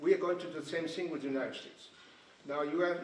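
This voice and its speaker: Noticeable background noise and audible room echo surround a man with a Japanese accent, his fairly high pitch showing ordinary variation. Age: 60s. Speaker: finance executive. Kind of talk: panel remarks. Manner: halting.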